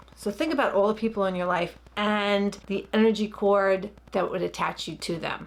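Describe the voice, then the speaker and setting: With a Long Island accent, a woman talks at a moderate pace. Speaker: licensed therapist. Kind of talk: guided meditation instruction; casual explanatory talk.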